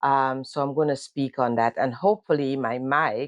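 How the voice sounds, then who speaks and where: Over a quiet background, a woman with a Caribbean accent speaks at a very deep, low pitch with fairly even intonation, the sound dry and close with no echo. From Grenada. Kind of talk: casual talk to camera. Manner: hesitant, conversational.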